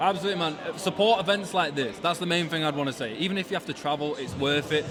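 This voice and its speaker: Music plays in the background as a man talks at a very fast pace with a fairly high pitch and ordinary pitch variation. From Yorkshire, near Leeds. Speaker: sneaker podcast host. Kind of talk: casual event interview. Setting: live sneaker event.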